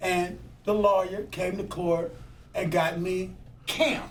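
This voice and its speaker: A man speaks very slowly in a high voice with ordinary pitch variation. Audible room echo and noticeable background noise fill the recording. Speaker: former firefighter and activist. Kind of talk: oral history interview. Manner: casual storytelling.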